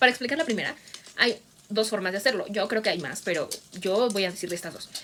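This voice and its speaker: The tone is animated and the pace very fast, with big swings in loudness and ordinary pitch variation. Noticeable background noise sits behind the voice. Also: woman, medium pitch for a woman. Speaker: booktuber and writer. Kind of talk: tutorial. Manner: casual, animated.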